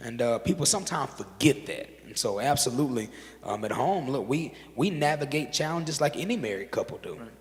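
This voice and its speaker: With noticeable background noise behind him, a man speaks fairly quickly with a fairly high pitch and lively intonation. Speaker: interview guest. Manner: speaks like a preacher.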